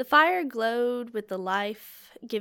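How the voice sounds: A natural reading voice is heard throughout the clip.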